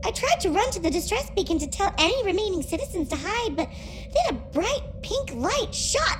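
A female-sounding voice does a put-on character at a moderate pace over loud background noise. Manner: grave, mournful.

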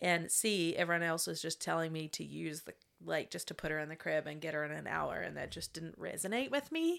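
This woman speaks with a New Zealand accent. The recording is very clean, with a silent background. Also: fairly quick pace. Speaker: sleep coach. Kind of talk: interview.

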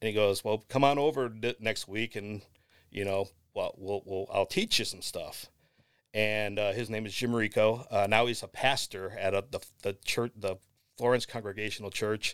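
An American man with an ordinary speaking voice talks at a moderate pace, his pitch fairly low and his intonation fairly even. The recording is very clean, with a silent background. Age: 40s. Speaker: drummer and sportswriter. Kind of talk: casual interview chat.

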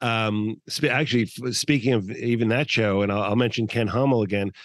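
Against a quiet background, a man talks in an ordinary speaking voice at a medium pitch and moderate pace, with ordinary pitch variation. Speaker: podcast host. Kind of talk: interview. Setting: remote call.

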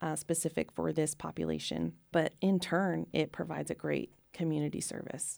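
A woman with an American accent talks at a moderate pace in a very clean recording with a silent background. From Texas, Waco. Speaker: university professor and center director. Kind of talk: interview.

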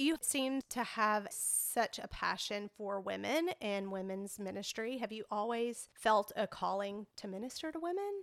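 With hardly any pauses, a woman speaks in a normal speaking voice at a fairly high pitch with lively intonation. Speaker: podcast host. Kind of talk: casual interview.

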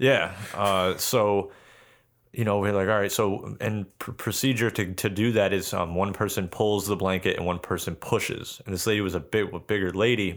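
In a very clean recording with a silent background, a man with an unremarkable speaking voice talks at a moderate pace with a fairly low pitch and fairly even intonation. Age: 20s. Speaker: podcast co-host. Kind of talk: casual chat.

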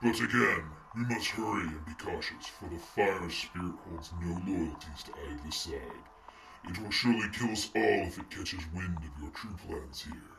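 In a put-on character voice, a man talks at a moderate pace with a very deep, low pitch over clear background noise. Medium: audio drama. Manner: imperious.

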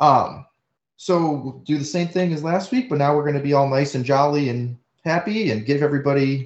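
A man speaks at a moderate pace in a plain, everyday voice, with ordinary pitch variation. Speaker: podcast host. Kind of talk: casual chat, podcast.

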